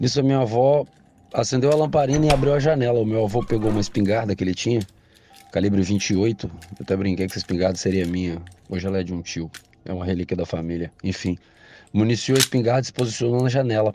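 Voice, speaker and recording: Music plays behind a man whose fairly low voice races along at a very fast pace. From Brazil, Espírito Santo (Vitória). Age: 40s. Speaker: listener sharing a story. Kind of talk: recorded personal story.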